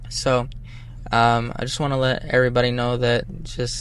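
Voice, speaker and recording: Audible room echo surrounds the speaker. He is a man with an American accent. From Boston. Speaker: rapper. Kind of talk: casual interview.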